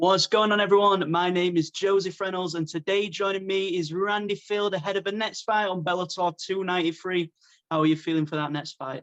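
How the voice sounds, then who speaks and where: In a British accent, the voice moves at a fairly quick pace with fairly even intonation. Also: man, high pitch for a man. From UK. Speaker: MMA interviewer. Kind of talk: interview.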